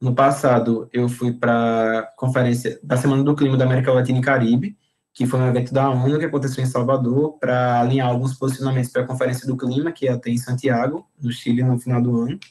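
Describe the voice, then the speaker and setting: Hardly pausing, a man talks at a fairly quick pace with very even loudness. His medium-pitched voice has monotone, flat intonation. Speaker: university student presenting their degree course. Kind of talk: informal talk to prospective students. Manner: fast, talkative.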